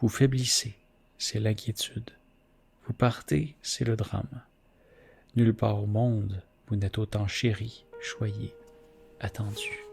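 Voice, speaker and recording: A soft-spoken man in a calm tone at a very slow pace, with music in the background. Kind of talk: poetry reading; ASMR reading. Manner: soft-spoken, calm.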